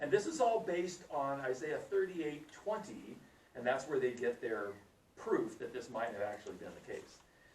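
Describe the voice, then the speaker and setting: Audible room echo surrounds a man speaking at a moderate pace with a fairly high pitch and an animated tone. His pitch swings very widely and his loudness shifts a lot. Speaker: Bible teacher. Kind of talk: Bible class teaching. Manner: whispering briefly.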